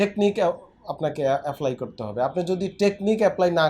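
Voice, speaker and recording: Lively intonation colors a man's dark, mellow tone. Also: very clean recording, silent background. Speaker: physiotherapist doctor. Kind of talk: patient interview and health advice.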